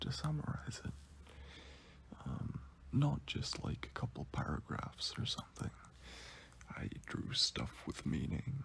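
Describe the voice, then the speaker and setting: Someone is whispering at a fairly slow pace. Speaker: commentary youtuber. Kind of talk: casual monologue. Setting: in bed at home. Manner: quiet; whispery.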